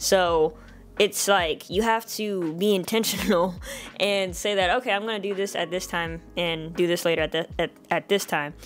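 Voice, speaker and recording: Here a woman speaks at a medium pitch with fairly even intonation. Noticeable background noise runs underneath. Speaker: vlogger. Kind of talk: casual vlog monologue. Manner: fast.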